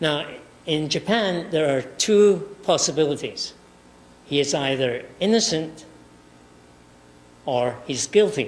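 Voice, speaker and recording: A man's very slow, lively-intoned speech with long, frequent pauses and audible room echo. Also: fairly high pitch for a man. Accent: Scottish. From Scotland. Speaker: professor. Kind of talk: lecture. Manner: halting.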